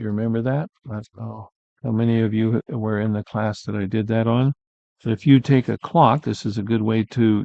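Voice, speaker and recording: This man speaks at a moderate pace in a normal speaking voice, medium in pitch with ordinary pitch variation. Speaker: art teacher. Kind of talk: live painting tutorial.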